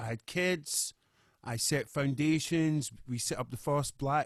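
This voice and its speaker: A man's fairly high voice with a Scottish accent, in a very clean recording with a silent background. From Scotland, Glasgow. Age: 40s. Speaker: musician. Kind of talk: interview.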